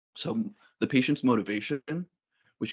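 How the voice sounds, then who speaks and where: The sound of a man speaking is dry and close with no echo, over a quiet background. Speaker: psychologist giving a staff training talk. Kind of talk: lecture. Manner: fast.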